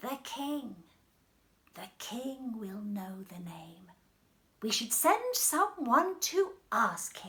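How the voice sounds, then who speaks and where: Using a put-on character voice, a woman speaks at a very slow pace. Her high pitch swings very widely. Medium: read story.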